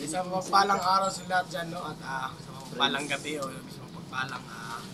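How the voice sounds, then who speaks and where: The man talks at a fairly quick pace in a fairly high pitch, with big swings in loudness. Audible room echo and noticeable background noise are present. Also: ordinary pitch variation. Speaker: adventure vlogger, rescue team member. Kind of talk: casual group video outro with shoutouts.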